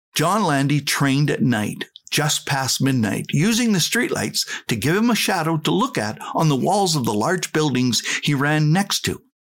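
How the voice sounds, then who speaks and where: With a Canadian accent, a man speaks at a moderate pace in a fairly high pitch, his pitch swinging very widely while his loudness stays very even. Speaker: podcast host, life coach. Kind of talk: inspirational monologue.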